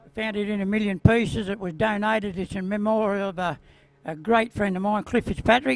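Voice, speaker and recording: Speaking at a fairly quick pace with an Australian accent, a man with a high pitch keeps his intonation fairly even. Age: 70s. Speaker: retired speedway rider. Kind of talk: interview.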